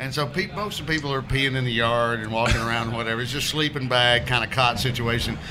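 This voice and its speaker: A man with a Southern US accent talks at a very fast pace with hardly any pauses and ordinary pitch variation. Audible room echo and noticeable background noise are present. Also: medium pitch for a man. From Alabama. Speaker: comedian. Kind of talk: casual chat. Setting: beer bar.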